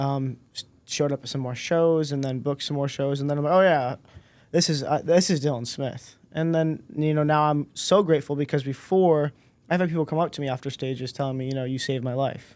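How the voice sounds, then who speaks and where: Fairly quick and fairly even in intonation, a man with an ordinary speaking voice and fairly high pitch comes through on a very clean recording with a silent background. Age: 20s. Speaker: motivational speaker. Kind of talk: podcast interview.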